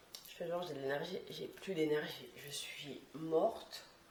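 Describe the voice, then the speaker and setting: A woman speaks at a very deep, low pitch with fairly even intonation. Noticeable background noise and an audible room echo are present. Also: big swings in loudness. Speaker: vlogger. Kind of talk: vlog monologue. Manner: casual, filler-heavy.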